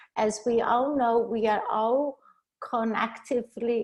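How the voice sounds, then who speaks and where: Against a quiet background, a woman with a Brazilian accent speaks very slowly at a fairly high pitch with fairly even intonation. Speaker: leadership and cross-cultural coach. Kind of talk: webinar presentation. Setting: video call. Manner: halting.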